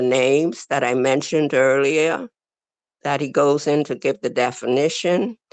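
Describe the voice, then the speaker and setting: With a very deep, low pitch, a woman talks at a fairly slow pace and fairly even intonation, the sound dry with no echo. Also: quiet background. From The Bahamas. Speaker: religious class speaker; speaker. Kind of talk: reading aloud. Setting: video call. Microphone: video call.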